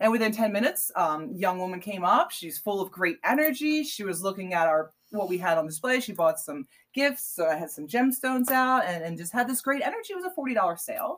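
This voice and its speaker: The speaker has an American accent and talks at a fairly quick pace with hardly any pauses. The pitch swings very widely. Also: woman, medium pitch for a woman. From Pennsylvania, Bucks County. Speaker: artist and small business owner. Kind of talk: casual interview.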